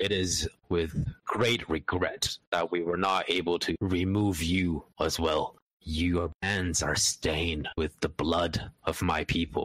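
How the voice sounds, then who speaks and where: Putting on a character voice, a man speaks at a very deep, low pitch and a fairly slow pace, with very even loudness, fairly even intonation, and a dry, close sound with no echo. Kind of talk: wuxia roleplay dialogue. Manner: resigned, bitter, cursing.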